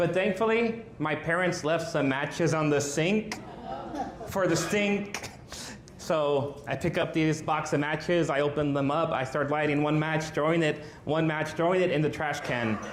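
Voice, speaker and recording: A fairly high-pitched man with an American accent, moderate pace, ordinary pitch variation and very even loudness, with audible room echo and noticeable background noise. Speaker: stand-up comedian. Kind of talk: stand-up. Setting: stage with audience.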